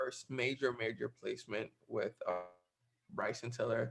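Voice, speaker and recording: A man speaks with music in the background. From West Africa. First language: not English. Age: 19. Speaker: music producer. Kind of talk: online class talk. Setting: video call. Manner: halting, many fillers.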